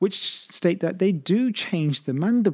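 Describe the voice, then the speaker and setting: At a moderate pace, a man speaks in a dark, mellow tone with a high pitch and lively intonation. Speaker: orthodontics podcast host. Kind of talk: lecture summary narration.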